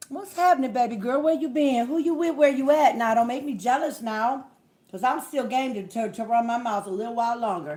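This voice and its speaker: Loud and lively in intonation, a woman speaks at a high pitch and a fairly quick pace. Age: 50s. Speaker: livestream host. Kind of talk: casual livestream chat.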